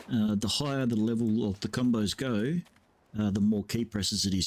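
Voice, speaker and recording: A man with an Australian accent speaks at a fairly slow pace and fairly low pitch, in a dark, mellow, relaxed tone with ordinary pitch variation. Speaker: video game streamer. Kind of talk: gameplay commentary. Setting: at computer with headset. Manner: casual, relaxed.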